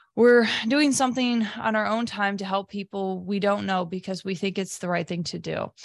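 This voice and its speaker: Against a quiet background, a woman talks at a moderate pace with a medium pitch. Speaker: podcast co-host. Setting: video podcast studio. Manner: animated, excitable.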